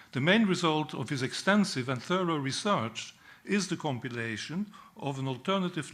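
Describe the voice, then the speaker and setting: A man talks at a moderate pace in a Dutch accent. His intonation is lively. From Netherlands. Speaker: peace historian. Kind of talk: speech at a book launch. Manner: formal.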